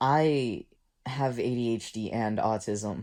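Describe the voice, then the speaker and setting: A shaky voice comes through on a very clean recording with a silent background. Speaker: musician. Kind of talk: casual talk to camera.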